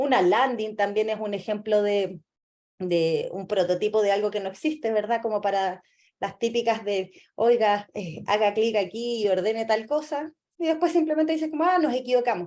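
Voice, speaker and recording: Featuring an unremarkable speaking voice, a woman talks fairly high in pitch at a moderate pace with lively intonation. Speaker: lecturer, UX designer. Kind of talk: lecture.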